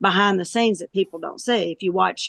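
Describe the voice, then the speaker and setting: A woman with an ordinary speaking voice at a fairly quick pace. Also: dry, close sound with no echo. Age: 60s. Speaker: pitmaster and chef. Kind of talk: interview.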